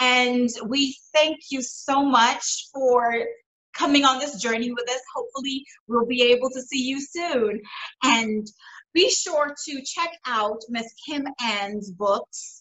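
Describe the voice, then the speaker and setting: Her pitch high with ordinary variation, a woman talks at a very slow pace over a quiet background. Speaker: show host. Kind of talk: show host introduction. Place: home room. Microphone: webcam.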